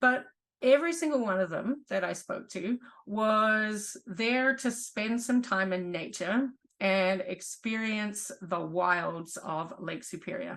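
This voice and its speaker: A woman with a New Zealand accent speaks very slowly at a fairly high pitch, her intonation lively. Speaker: geology professor. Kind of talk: online presentation.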